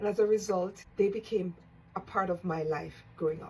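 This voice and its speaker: A woman's medium-pitched, plain, everyday voice with ordinary pitch variation. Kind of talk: casual talk to camera.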